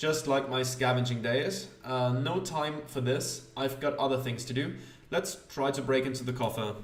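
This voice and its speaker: Amid noticeable background noise and audible room echo, a man with a non-native accent speaks at a medium pitch with fairly even intonation. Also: moderate pace. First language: not English. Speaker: gaming youtuber. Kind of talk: let's play commentary reading game text aloud. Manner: hesitant, many fillers.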